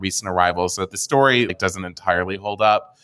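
A bright, sharp tone at a fairly quick pace with fairly even intonation, on a very clean recording with a silent background. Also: man. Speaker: wine retailer co-founder, former wine journalist. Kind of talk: interview.

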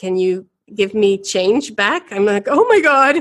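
A woman speaks in a Dutch accent at a fairly high pitch. The background is quiet. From Belgium (Ghent), Dutch father. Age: 40s. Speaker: knitting shop owner and entrepreneur. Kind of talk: interview conversation. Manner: animated, laughs often.

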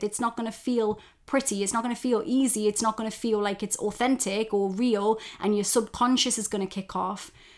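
A woman with an unremarkable speaking voice talks at a moderate pace and a fairly high pitch, her intonation fairly even. The recording is very clean, with a silent background. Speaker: self-development coach and podcast host. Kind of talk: pep talk. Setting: solo podcast recording. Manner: warm, direct, encouraging; conversational, informal, with swearing.

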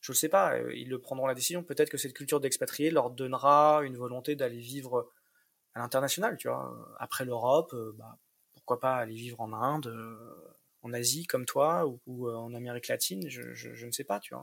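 A man talks at a moderate pace in a medium pitch with ordinary pitch variation. His loudness swings widely. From Paris region suburbs, France. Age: 30s. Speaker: single father. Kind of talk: interview testimony. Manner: halting, many repetitions.

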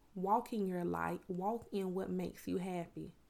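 A woman talks at a fairly slow pace with a Southern US accent. The recording is very clean with a silent background. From US South, Miami, Florida; lives in Georgia. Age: 30s. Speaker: podcast host and educator. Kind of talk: motivational monologue. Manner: relaxed, natural flow.

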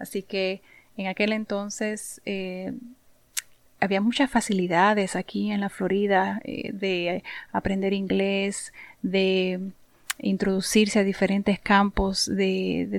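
A woman speaks very slowly with a Puerto Rican accent. Her pitch is medium and her intonation fairly even. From Puerto Rico (Santurce). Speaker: podcast host, insurance professional. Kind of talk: monologue podcast, informal advice.

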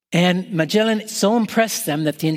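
A man's speech holds a moderate speed, with pitch varying in an ordinary way. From Canada. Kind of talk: Christmas homily.

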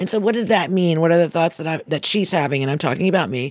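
In a very clean recording with a silent background, a woman talks in a normal speaking voice at a fairly low pitch. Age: 60s. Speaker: motivational speaker. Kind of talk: inspirational talk.

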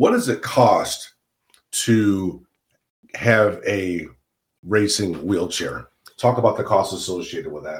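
A man in an American accent speaks at a very slow pace, somewhat breathy, with long, frequent pauses. His loudness swings widely. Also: fairly low pitch for a man, ordinary pitch variation. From Central New York. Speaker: podcast host. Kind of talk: casual interview.

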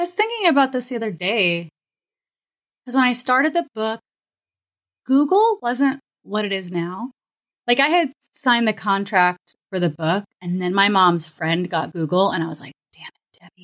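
A woman with an American accent, fairly high-pitched, at a moderate pace, with very wide pitch swings, big swings in loudness, long and frequent pauses, and a dry, close sound with no echo. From Florida and Kansas, US. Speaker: writer, illustrator, podcaster, professor. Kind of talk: casual interview chat.

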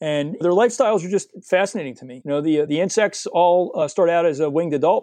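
Over a quiet background, a man with an American accent talks at a very fast pace. His voice is high-pitched with a dark, mellow tone and ordinary pitch variation. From US Northeast, suburban New Jersey. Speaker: freshwater naturalist and educator. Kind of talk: casual interview. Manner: animated.

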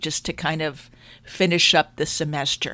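This woman has a plain, everyday voice, fairly low in pitch, with an American accent and fairly even intonation. She speaks at a moderate pace in a very clean recording with a silent background. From New York, Long Island. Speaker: life and business coach. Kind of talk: solo podcast monologue.

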